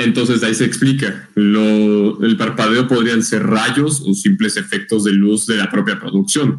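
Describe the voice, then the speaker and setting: A man speaks at a fairly slow pace with hardly any pauses. His pitch varies in an ordinary way and his loudness stays very even. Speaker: podcast co-host. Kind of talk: casual chat. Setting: live stream.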